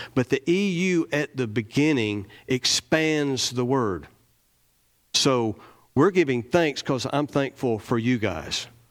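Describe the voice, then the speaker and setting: Lively intonation marks this man's Southern US accent. The recording is very clean, with a silent background. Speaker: lay preacher. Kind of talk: sermon. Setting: church. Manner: animated.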